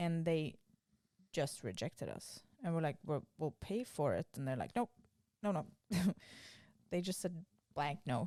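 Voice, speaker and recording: Fairly slow with long, frequent pauses, a woman speaks in a fairly low, dark, mellow voice with lively intonation. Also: dry, close sound with no echo. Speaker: podcast co-host. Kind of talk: casual chat. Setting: recorded lying in bed. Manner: loud.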